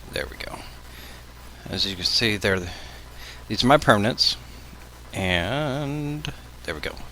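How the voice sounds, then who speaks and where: A man's medium-pitched voice with lively intonation amid noticeable background noise. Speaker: video blogger. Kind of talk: casual vlog. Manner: hesitant, many fillers. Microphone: levels maxing out, maybe too quiet.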